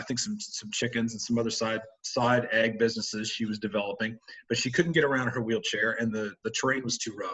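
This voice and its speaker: At a fairly quick pace, a man speaks with a medium pitch. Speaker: agricultural rehabilitation specialist. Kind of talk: webinar presentation. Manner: fast.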